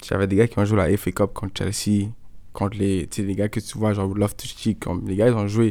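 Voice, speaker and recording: A fairly low-pitched man at a fairly quick pace. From Montreal, Quebec. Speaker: soccer player. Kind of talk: interview. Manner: casual, hesitant fillers.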